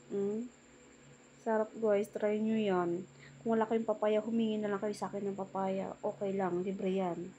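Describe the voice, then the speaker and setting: Speaking at a moderate pace, a woman keeps a medium pitch and a monotone, flat intonation. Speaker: cooking vlogger. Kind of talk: cooking vlog voice-over. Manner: casual, chatty.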